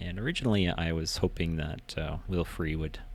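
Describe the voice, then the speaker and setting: Soft-spoken, a man talks with a very deep, low pitch. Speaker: gaming video creator. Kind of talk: casual game walkthrough narration. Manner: quiet, soft-spoken; halting, many fillers.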